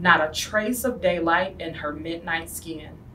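With light background noise behind her, a woman talks at a fairly slow pace. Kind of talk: storybook read-aloud. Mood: gentle, warm storytelling. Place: classroom. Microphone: camera far.

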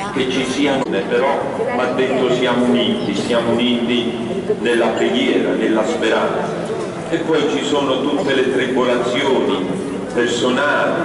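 Amid strong room echo and noticeable background noise, a man talks at a fairly slow pace with long, frequent pauses. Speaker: priest addressing the bearers. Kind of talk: sermon. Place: church.

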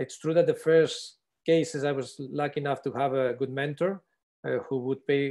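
A man speaks at a moderate pace in a fairly high pitch against a quiet background. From Spain, Barcelona; Catalonia, Spain. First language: Spanish or Catalan. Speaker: eye surgeon, instructor; instructor. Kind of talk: online panel discussion. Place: home room. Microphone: video call.

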